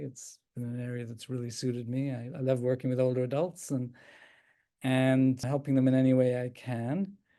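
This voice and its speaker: Over a quiet background, a man with a slight Irish accent and a dark, mellow tone talks at a moderate pace in a monotone, flat intonation. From Ireland, Dublin. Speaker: geriatric psychiatrist. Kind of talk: talk answering questions. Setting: video call.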